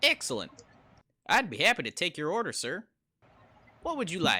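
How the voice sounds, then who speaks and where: A put-on character voice at middle pitch and a moderate pace, with very wide pitch swings. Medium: read story.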